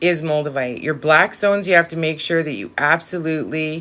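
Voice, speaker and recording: A woman with a Canadian Prairies accent speaks at a fairly low pitch and a moderate pace. Her tone is bright and sharp against a quiet background. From Saskatchewan, Canada. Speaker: live-stream witchcraft and crystal host. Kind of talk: casual live stream chat.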